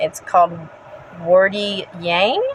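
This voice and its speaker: There is noticeable background noise. A woman speaks at a medium pitch. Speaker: pagan spiritual vlogger. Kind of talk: casual educational talk. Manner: energetic.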